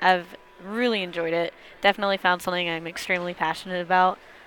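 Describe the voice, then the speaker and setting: With an American accent, a woman speaks very fast at a medium pitch in a flat, monotone way. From US Midwest. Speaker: milling science student. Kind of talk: casual interview. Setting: conference show floor.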